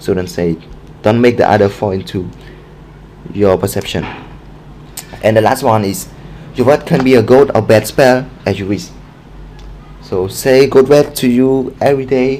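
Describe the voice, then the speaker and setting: A man with a non-native accent speaks at a moderate pace and a medium pitch, with long, frequent pauses and noticeable background noise. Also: ordinary pitch variation. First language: not English. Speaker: book recommendation vlogger. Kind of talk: casual monologue, book review. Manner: halting, many fillers.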